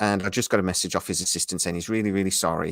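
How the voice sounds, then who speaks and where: A man's fairly low voice at a very fast pace, with a dry, close sound, no echo, and a very clean recording with a silent background. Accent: British. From Britain. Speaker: YouTube channel host. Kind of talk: casual chat. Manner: keeping voice down.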